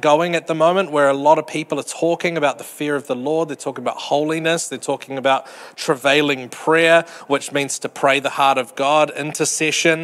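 His speech moves at a moderate pace. A man's fairly even intonation carries through. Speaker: preacher. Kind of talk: sermon. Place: hall. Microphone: handheld.

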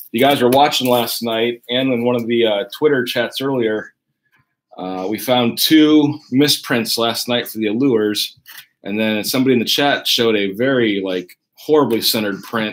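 A man's voice with ordinary pitch variation at a moderate pace. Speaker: card break host. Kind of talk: live stream commentary. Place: home room.

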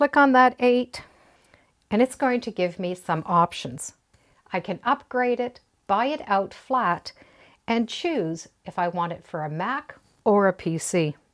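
Against a quiet background, a woman talks at a fairly slow pace, her pitch swinging very widely, with long, frequent pauses. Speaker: quilting instructor. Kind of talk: tutorial. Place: home room.

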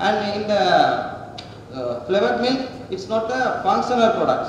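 A man's high-pitched voice at a moderate pace, with strong room echo and light background noise. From Sri Lanka. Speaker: student researcher. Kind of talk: presentation. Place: hall. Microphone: podium.

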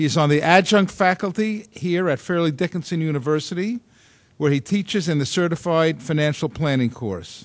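With a plain, everyday voice, this man talks at a moderate pace in a fairly high pitch with ordinary pitch variation. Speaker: moderator. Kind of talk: formal introduction. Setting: stage with audience. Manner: formal.

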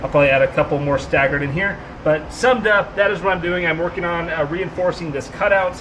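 Over noticeable background noise, a man speaks at a very fast pace with ordinary pitch variation. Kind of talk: casual vlog chat. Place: garage. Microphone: phone near.

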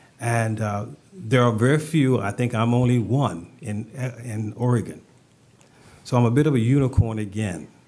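With a Southern US accent, a man speaks at a medium pitch. His pitch varies in an ordinary way. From US South. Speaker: city economic development manager; panelist. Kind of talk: panel discussion. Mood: calm, reflective. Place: meeting room. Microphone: podium.

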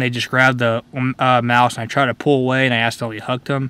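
A man's bright, sharp voice at a very fast pace, dry with no echo. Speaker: fishing vlogger. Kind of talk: casual vlog chat. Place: car. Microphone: phone near.

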